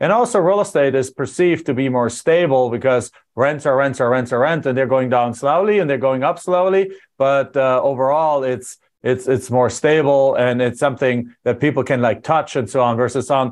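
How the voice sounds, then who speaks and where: Speech in a German accent at a moderate pace, with very even loudness, ordinary pitch variation and a quiet background. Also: man. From Germany. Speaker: podcast host, real estate investor. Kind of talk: interview.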